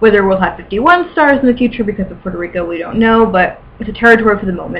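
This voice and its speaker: A woman is speaking. Her pitch sits in the middle range. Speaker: amateur history vlogger. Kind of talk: informal educational vlog. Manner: fast; mumbling.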